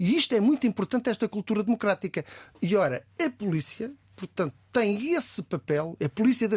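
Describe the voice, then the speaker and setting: Recorded with a dry, close sound and no echo, a man with a high pitch talks at a moderate pace with very wide pitch swings. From Azores, with parents from Beira Baixa, some childhood in Cape Verde. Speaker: senior police commander. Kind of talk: radio interview. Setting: studio.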